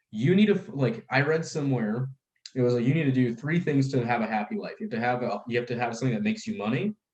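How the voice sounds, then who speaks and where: Animated and somewhat breathy, a man races along at a very fast pace at medium pitch, with very wide pitch swings. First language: Russian. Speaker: life insurance brokerage founder. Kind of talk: casual podcast chat.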